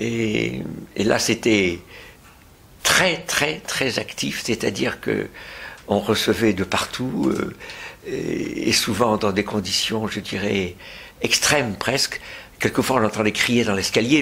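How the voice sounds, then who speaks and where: A man with a fairly low voice speaks very slowly and with lively intonation, leaving long, frequent pauses over noticeable background noise. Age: 80s+. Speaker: retired pediatrician. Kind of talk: interview. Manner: halting, many hesitations.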